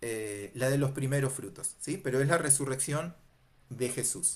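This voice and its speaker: The voice is somewhat breathy and fairly slow. There is audible room echo. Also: man. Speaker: Bible teacher. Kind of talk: lecture.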